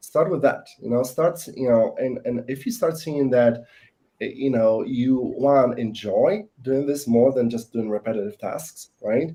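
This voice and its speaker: With a non-native accent, a man speaks at a fairly slow pace in a medium pitch, his tone dark and mellow and his pitch variation ordinary. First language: not English. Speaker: salesperson. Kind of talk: panel discussion. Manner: hesitant, many fillers.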